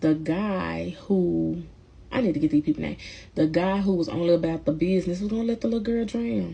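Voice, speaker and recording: Somewhat breathy, a woman talks fairly quickly with an American accent at a medium pitch. Her tone is dark and mellow. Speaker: movie reviewer. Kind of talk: casual movie review. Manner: casual, hesitant with fillers.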